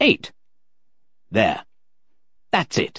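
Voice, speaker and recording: The man adopts a put-on character voice pitched extremely high. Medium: read story.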